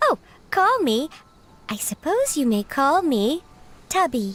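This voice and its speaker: The high-pitched, put-on character voice swings very widely in pitch. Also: fairly slow pace. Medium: video game. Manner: polite, formal.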